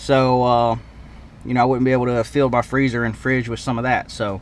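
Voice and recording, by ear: A man speaks at a moderate pace in a medium pitch, with little pitch movement.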